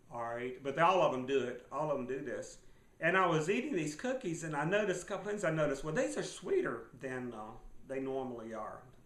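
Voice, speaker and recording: With audible room echo, a man rattles along at a very fast pace with lively intonation. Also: fairly high pitch for a man. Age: 60s. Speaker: survival and finance video blogger. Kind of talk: casual monologue. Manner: halting, many fillers.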